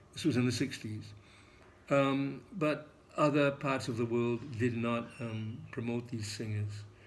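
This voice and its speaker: A man speaks at a fairly slow pace with audible room echo around him. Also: medium pitch for a man, fairly even intonation. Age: 80s+. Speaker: English teacher. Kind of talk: lecture. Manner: halting, many fillers.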